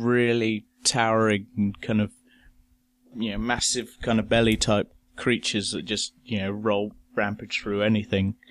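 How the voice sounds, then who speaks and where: The man's voice sits at a medium pitch. The sound is dry and close, with no echo. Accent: English. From England. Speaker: guest. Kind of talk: casual chat. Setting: remote call from UK.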